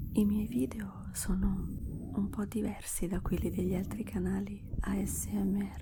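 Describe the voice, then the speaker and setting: Soft-spoken and fairly slow, the voice comes through noticeable background noise. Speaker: ASMR creator. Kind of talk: ASMR talk to viewers.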